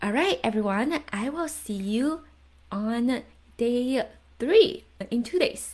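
This woman's voice is somewhat breathy, and her intonation is lively. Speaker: podcast host and coach. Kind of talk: training session / coaching talk. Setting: video call.

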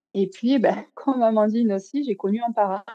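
Moderate pace and ordinary pitch variation. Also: woman. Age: 30s. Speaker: food photographer and magazine co-founder. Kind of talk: casual interview.

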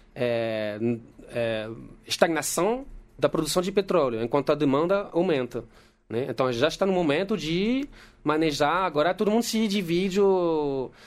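A man with a fairly high pitch talks at a moderate pace, his voice making very wide pitch swings. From France. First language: French (speaking Portuguese). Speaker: geologist. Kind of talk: casual chat.

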